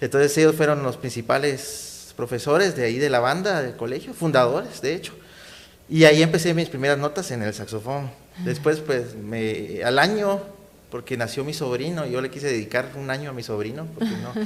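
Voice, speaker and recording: Here a man with a plain, everyday voice speaks at a fairly high pitch and moderate pace with ordinary pitch variation. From Guatemala, Guatemala City. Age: 30s. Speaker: saxophonist and community activist. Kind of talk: interview.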